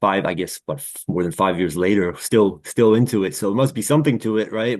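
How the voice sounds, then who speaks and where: In a fairly low, unremarkable speaking voice with an American accent, a man talks at a fairly quick pace with ordinary pitch variation over a quiet background. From US Northeast (New York). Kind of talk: casual interview conversation.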